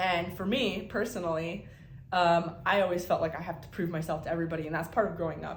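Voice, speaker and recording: There is noticeable background noise as a woman with a fairly low pitch talks at a very fast pace. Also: big swings in loudness. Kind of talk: casual talk to camera.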